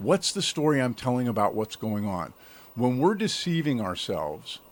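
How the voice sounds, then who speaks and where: Talking at an unhurried, moderate pace, the man has a normal speaking voice pitched in a medium range. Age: 60s. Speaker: self-development coach, podcast guest. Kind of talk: interview conversation.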